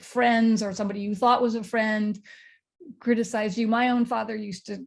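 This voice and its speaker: A woman speaks fairly quickly at a fairly high pitch, somewhat breathy, in a monotone, flat delivery. The recording is very clean, with a silent background. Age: 60s. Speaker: panelist. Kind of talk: casual chat.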